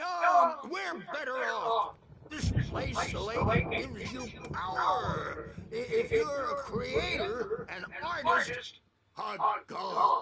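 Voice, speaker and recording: A man puts on a character voice, pitched extremely high and delivered at a very slow pace. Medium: video game. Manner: rambling, cackling.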